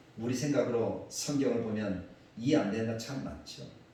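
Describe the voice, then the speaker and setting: The speech moves at a moderate pace. Audible room echo and noticeable background noise surround it. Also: man. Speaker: pastor. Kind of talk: sermon.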